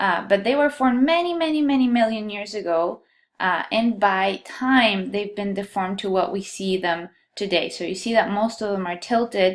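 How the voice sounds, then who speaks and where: The speaker has a Colombian accent and lively intonation. The recording is very clean, with a silent background. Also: woman, medium pitch for a woman, moderate pace. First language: Spanish. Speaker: geology instructor. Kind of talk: lecture.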